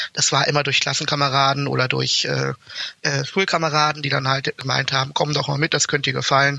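A man at a moderate pace. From Germany, Berlin. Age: 20s. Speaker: university student, fraternity member. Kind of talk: casual interview.

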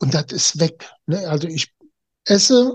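A man speaks at a fairly high pitch. The sound is dry and close, with no echo. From Germany. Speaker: naturopath. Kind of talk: interview. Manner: halting.

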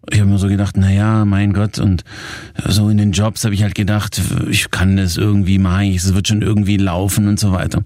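At a fairly quick pace, a man with a fairly low pitch talks in a monotone, flat intonation at very even loudness. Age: 40s. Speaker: success coach and podcast host. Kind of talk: coaching podcast talk.

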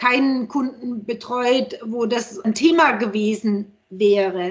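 The voice belongs to a woman and sits high in pitch. Its rise and fall is ordinary. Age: 50s. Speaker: healthcare PR consultant. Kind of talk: casual chat.

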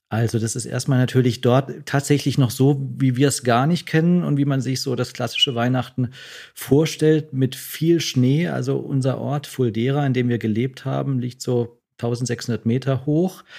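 A man's medium-pitched, ordinary speaking voice, with hardly any pauses. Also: fairly even intonation, moderate pace. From southwestern Germany, Freiburg. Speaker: doctor. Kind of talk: casual interview.

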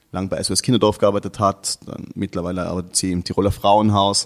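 A man's fairly low pitch with monotone, flat intonation. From Austria, Tyrol (Innsbruck). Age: 30s. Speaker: artist and activist. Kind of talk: interview.

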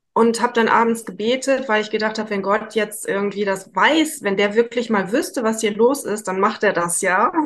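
Over noticeable background noise, a woman speaks at fairly high pitch and a moderate pace, with ordinary pitch variation and hardly any pauses. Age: 50s. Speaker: psychotherapy practitioner. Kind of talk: interview.

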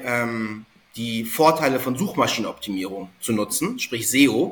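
A man's lively, varied intonation comes through noticeable background noise as he talks rather slowly. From Hamburg, northern Germany. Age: 30s. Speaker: SEO consultant. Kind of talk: podcast interview.

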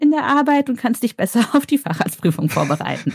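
Over a silent background in a very clean recording, a woman with a somewhat breathy voice speaks at a moderate pace with lively intonation, the sound dry and close with no echo. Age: 30s. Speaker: anesthesiologist and cancer patient. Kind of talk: interview, personal testimony.

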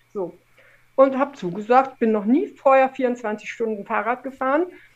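A woman speaks with a high pitch. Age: 50s. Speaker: former professional cyclist and adventurer. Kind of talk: casual interview chat.

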